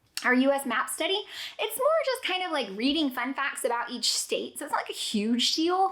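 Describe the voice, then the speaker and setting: This woman talks at a fairly quick pace in a raised, projected voice. Her tone is animated. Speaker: homeschooling parent and vlogger. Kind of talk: casual chat. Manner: fast.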